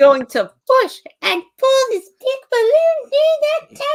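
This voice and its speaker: This put-on character voice sits at an extremely high pitch. The delivery is very slow. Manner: cartoon impression.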